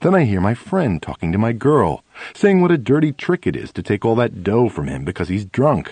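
An unforced reading voice is heard here.

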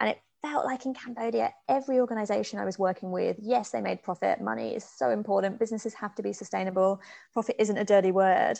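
A woman talking at a very fast pace over a quiet background. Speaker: business co-founder and podcaster. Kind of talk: interview conversation.

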